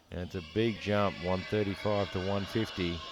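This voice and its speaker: Speaking with an Australian accent, a man delivers his words at a moderate pace in a fairly low pitch with monotone, flat intonation. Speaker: sports commentator. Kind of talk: live commentary. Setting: commentary box.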